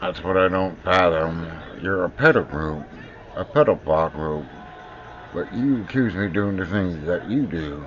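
With an American accent, a man speaks at a very deep, low pitch and fairly slow pace, his lively intonation broken by long, frequent pauses over noticeable background noise. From US Pacific Northwest. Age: 50s. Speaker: video blogger. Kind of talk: personal video monologue. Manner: halting.

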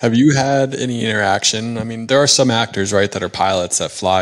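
A man at a moderate pace with ordinary pitch variation, in a quiet background. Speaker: podcast host and corporate pilot; podcast host. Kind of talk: casual interview. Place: home room. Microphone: handheld.

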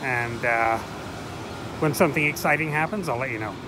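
A man talks with ordinary pitch variation. The sound is dry with no echo, though noticeable background noise is present. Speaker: travel vlogger. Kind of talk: casual vlog narration. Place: station. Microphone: phone near.

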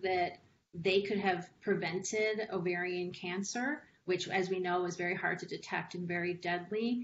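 A woman with an American accent, fairly even intonation, and a moderate pace over light background noise. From Los Angeles, US (Mexican American). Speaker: patient advocate. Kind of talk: testimony. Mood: earnest, personal. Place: home room. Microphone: video call.

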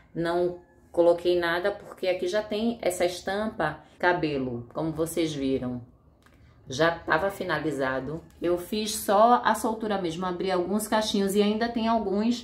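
A woman with an unremarkable speaking voice talks at a fairly slow pace. Her pitch is fairly low and her intonation lively. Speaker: fashion vlogger. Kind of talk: casual vlog chat. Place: home room.

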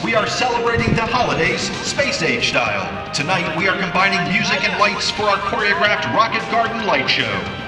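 A man talks at a fairly quick pace. Clear music plays behind him. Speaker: voice actor. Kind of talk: venue announcer read. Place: open country.

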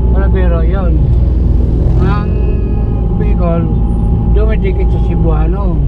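Over loud background noise, a man speaks at a fairly slow pace with long, frequent pauses in a dry sound with no echo. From Cebu, Philippines. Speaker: taxi driver. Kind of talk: interview answer. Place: car. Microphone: phone near.

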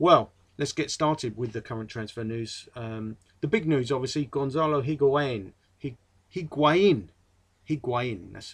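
Speaking fairly slowly in an English accent, a man with a fairly high pitch sounds somewhat breathy, with ordinary pitch variation, big swings in loudness and a quiet background. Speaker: football fan vlogger. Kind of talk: casual monologue. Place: home room. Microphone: webcam.

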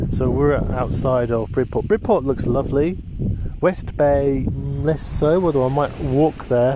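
Noticeable background noise sits behind a man with a fairly high pitch. The sound is dry with no echo, and his loudness is very even. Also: ordinary pitch variation, fairly slow pace. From northern England, Lancashire. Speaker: hiking vlogger. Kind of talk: casual vlog monologue. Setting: outdoors at a campsite. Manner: rambling with many fillers and repeats. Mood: reflective, a bit wry. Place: beach.

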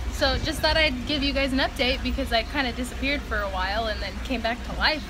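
A woman speaking at a fairly quick pace over music in the background. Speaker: vlogger. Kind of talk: casual vlog chat. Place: street. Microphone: phone near.

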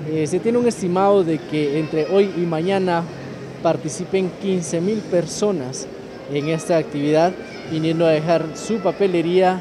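The speaker goes at a fairly slow pace while clear music plays in the background. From Guatemala. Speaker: reporter. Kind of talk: live field report. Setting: convention center job fair. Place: hall. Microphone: phone near.

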